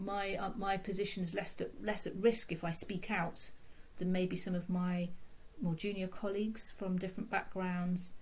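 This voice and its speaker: With noticeable background noise behind her, a woman with a British accent talks at a medium pitch. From UK, London. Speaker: consultant physiotherapist. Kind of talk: podcast interview. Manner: halting, many fillers and repeats.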